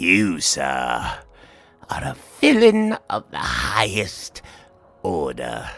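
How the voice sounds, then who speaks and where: Doing a put-on character voice, a man speaks very slowly with a raspy, very deep, low pitch, leaving long, frequent pauses. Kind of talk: read story. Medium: read story. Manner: rising rage, manic.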